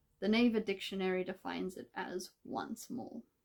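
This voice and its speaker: Vocal fry runs through a woman's medium-pitched voice. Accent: Australian. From Australia. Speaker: Korean language content creator. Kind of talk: tutorial. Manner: casual.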